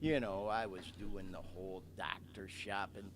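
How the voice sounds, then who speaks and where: An unremarkable speaking voice from a man with an American accent, fairly low in pitch and at a fairly slow pace. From US Midwest, Metro Detroit. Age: 60s. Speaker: podcast host. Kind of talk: casual monologue, live podcast. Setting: live stream.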